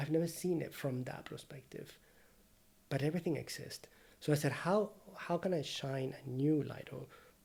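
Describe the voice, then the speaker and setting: This man's voice is fairly high and somewhat breathy. His pitch varies in an ordinary way. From Venezuela. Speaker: painter and art teacher. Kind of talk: casual interview conversation. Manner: fast.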